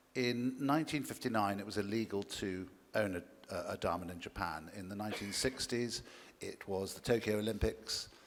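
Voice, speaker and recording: At a fairly low pitch with ordinary pitch variation, a man speaks at a moderate pace. The recording is very clean, with a silent background. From England. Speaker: conference panelist, diamond industry expert. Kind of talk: panel discussion.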